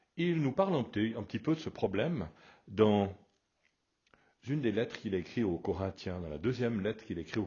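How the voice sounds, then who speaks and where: A man's somewhat breathy, fairly low voice with very wide pitch swings. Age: 60s. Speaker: pastor. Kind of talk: radio sermon. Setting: radio broadcast.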